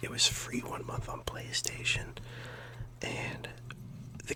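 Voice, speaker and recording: Whispering in a calm tone, with noticeable background noise. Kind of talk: soft whispered ASMR rambling to camera about gaming. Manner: whispered, soft-spoken, calm, rambling.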